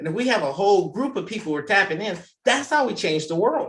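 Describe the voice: A man's high voice, fairly bright in tone, with big pitch swings and a fairly quick pace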